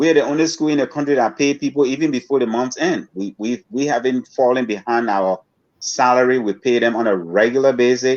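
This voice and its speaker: Here is a man with a plain, everyday voice at medium pitch. He moves at a fairly quick pace with ordinary pitch variation. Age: 60s. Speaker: social entrepreneur and school founder. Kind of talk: interview. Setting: podcast interview.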